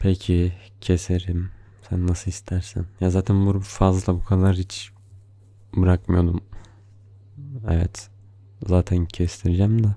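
A man's very deep, low voice carries a dark, mellow tone, somewhat breathy and playful in tone. He speaks very slowly in a monotone, flat way, with long, frequent pauses. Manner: soft, slow, tender and affectionate, with playful laughs.

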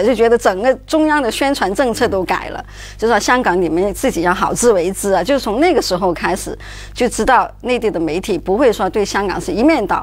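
A woman talks at a fairly quick pace with a fairly high pitch. Her intonation is lively, in a Cantonese accent. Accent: Cantonese-accented Mandarin. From Hong Kong. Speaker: journalist. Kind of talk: talk show discussion. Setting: studio. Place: studio.

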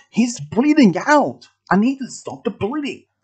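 A man's put-on character voice at an extremely high pitch, with big pitch swings, a slightly husky edge and a fairly slow pace

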